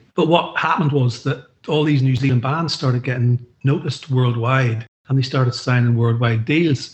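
At a moderate pace and medium pitch, a man speaks in a somewhat breathy voice with fairly even intonation. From Northern Ireland. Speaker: former record label boss. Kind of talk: casual chat.

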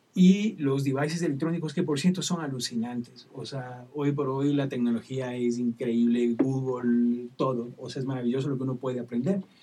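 Over music in the background, a man speaks with hardly any pauses and ordinary pitch variation. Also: medium pitch for a man, moderate pace. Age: 50s. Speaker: children's music songwriter and singer. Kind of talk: interview. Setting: live-streamed studio conversation.

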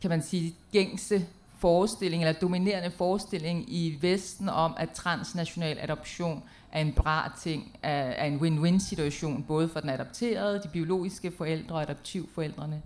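Her fairly low-pitched voice moves at a fairly slow pace with fairly even intonation, as this woman is heard on a very clean recording with a silent background. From Denmark. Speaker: poet and playwright. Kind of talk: panel presentation. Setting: stage with audience in a tent. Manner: halting, many fillers.

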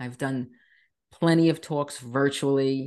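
With an American accent, a woman speaks at a fairly slow pace against a quiet background. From Long Island, New York. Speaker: nurse and wellness coach. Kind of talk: interview.

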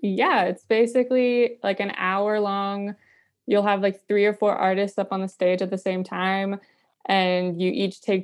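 A woman with an American accent talks at a moderate pace in an ordinary speaking voice. Her pitch sits in the medium range. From North Carolina. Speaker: singer-songwriter. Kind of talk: casual interview. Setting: video call.

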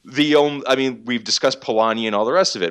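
Set against a silent background on a very clean recording, the speech moves at a fairly quick pace. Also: man. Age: 30s. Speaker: business and economics journalist. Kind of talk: casual chat.

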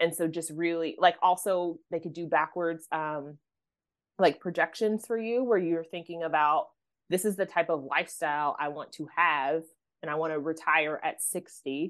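A woman with an American accent uses a plain, everyday voice, fairly low in pitch, at a moderate pace against a quiet background. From US, Oklahoma. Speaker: financial coach. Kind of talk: podcast interview.

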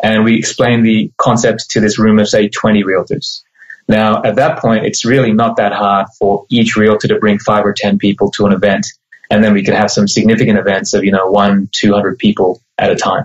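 A man's fairly low, monotone voice at a moderate pace, with flat intonation and very even loudness. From Australia. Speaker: mortgage broker.

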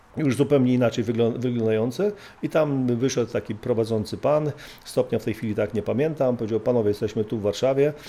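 Very fast, a man talks at a medium pitch with ordinary variation. His tone is dark and mellow, and the recording is very clean with a silent background. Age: 50s. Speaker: former special forces officer and trainer. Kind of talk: interview. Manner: halting.

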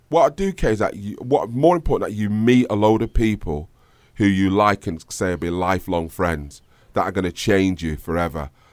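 This man has a Manchester accent and a fairly low pitch. His pace is moderate. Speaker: singer and music producer. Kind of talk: casual interview chat. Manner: rambling, filler-heavy.

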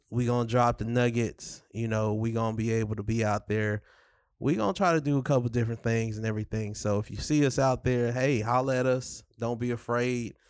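Heard on a very clean recording with a silent background, a plain, everyday voice speaks at a fairly quick pace. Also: man, medium pitch for a man. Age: 30s. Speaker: podcast host. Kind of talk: casual chat. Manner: laid-back, conversational.

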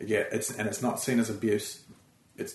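Speaking at a moderate pace with an Australian accent, a man is heard over noticeable background noise. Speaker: comedian and TV writer. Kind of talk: casual interview chat. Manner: easygoing, chilled out.

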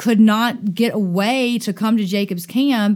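Over a silent background on a very clean recording, a woman in a Southern US accent speaks at a fairly slow pace with medium pitch and ordinary pitch variation. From US South, Dothan, Alabama. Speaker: summer camp director. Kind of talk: podcast interview.

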